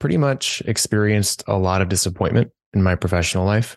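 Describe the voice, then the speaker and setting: Here a man talks at a moderate pace. His voice sits fairly low in pitch, and the sound is dry and close with no echo. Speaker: career coach. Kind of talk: interview. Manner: monotone, chill; halting, filler words.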